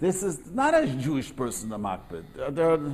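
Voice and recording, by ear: A man talks at a moderate pace in a slightly mellow tone.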